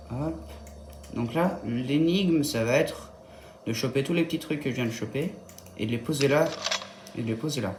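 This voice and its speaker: Soft-spoken and at a moderate pace, the speaker leaves long, frequent pauses over noticeable background noise. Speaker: gaming youtuber. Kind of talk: gameplay tutorial commentary. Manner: hesitant, thinking aloud.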